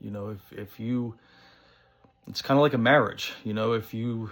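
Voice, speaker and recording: Fairly even intonation at a moderate pace, in an American accent. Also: man. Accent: thick New Jersey accent, sometimes toned down. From northern New Jersey. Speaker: pipe-smoking vlogger. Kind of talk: casual monologue vlog. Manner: casual, many fillers.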